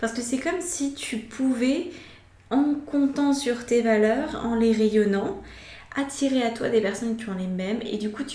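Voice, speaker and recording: Amid noticeable background noise and audible room echo, a woman speaks at a fairly slow pace in a fairly high pitch with ordinary pitch variation. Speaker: tarot reader. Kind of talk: tarot reading. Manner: hesitant fillers.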